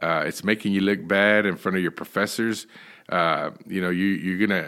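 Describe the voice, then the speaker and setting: Recorded very cleanly against a silent background, a man with a Texan accent speaks in a bright, sharp tone. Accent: Texan American. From Texas (Dallas). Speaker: minister and addiction counselor. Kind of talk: interview, personal testimony. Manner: frequent fillers and repetitions.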